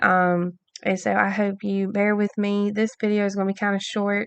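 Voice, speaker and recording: A woman's medium-pitched, monotone, flat delivery against a quiet background. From US South, Alabama. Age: 20s. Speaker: podcast host. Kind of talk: casual monologue. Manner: many filler ums, halting.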